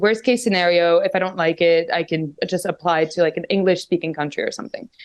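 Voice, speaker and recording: A woman speaks in a French accent at a fairly quick pace. Her pitch is medium. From Macau. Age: 20s. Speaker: guest. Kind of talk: casual chat. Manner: animated.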